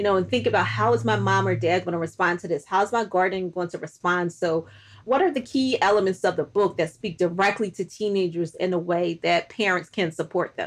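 A woman with vocal fry and a fairly low pitch speaks at a fairly quick pace with lively intonation. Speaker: podcast host, academic. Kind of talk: interview. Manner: fast.

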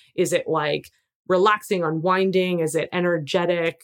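Speaking at fairly low pitch with fairly even intonation, a woman is heard on a very clean recording with a silent background. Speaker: podcast host, entrepreneur business coach. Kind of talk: solo podcast monologue. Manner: fast.

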